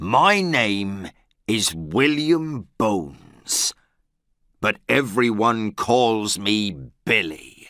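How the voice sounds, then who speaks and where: Using a put-on character voice, the speaker drags each word out at a very slow pace. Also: man, medium pitch for a man. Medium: read story.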